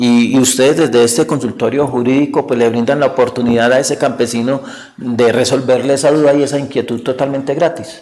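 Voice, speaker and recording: A man's medium-pitched, monotone, flat delivery at a fairly quick pace, with very even loudness. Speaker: TV interviewer. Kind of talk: TV interview. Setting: on location in a town. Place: studio.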